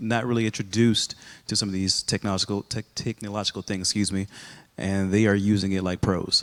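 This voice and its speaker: A man with a slight Texas accent speaks at a very fast pace. His fairly low voice stays monotone and flat. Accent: very little Texas. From Texas, Rowlett area. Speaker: high school principal. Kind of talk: casual interview conversation.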